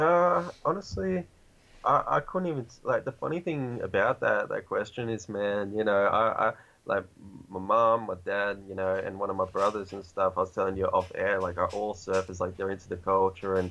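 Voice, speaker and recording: A man is talking at a moderate pace. He has an Australian accent. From Australia, New South Wales. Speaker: hip hop artist. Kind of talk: casual chat. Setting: video call. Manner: many fillers, rambling pace.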